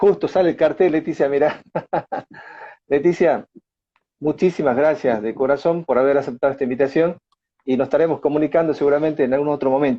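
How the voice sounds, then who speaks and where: In an Argentine accent, a man with a fairly high pitch talks at a fairly quick pace, with ordinary pitch variation and long, frequent pauses. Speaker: interviewer. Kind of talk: interview.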